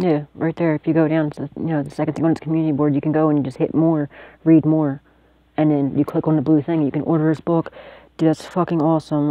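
Very fast, monotone, flat delivery in a dry sound with no echo. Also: woman. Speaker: psychic tarot reader and video channel host. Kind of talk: tarot reading monologue to camera. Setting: self-recorded video at home. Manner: casual, profane and laughing often. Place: home room. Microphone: phone near.

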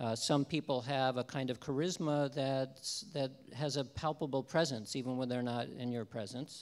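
A man's voice, its pitch varying in an ordinary way, moves along at a moderate pace. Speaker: lecturer. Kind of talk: lecture. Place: stage. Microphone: handheld.

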